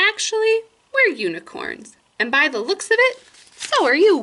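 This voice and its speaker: Using a put-on character voice, a woman squeaks at an extremely high pitch with very wide pitch swings. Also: moderate pace. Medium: read story. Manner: friendly, welcoming.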